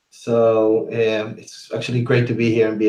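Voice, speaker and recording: A man's medium-pitched, dark, mellow voice with a Spanish accent. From Uruguay. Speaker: threat intelligence analyst. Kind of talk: webinar presentation. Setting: online webinar.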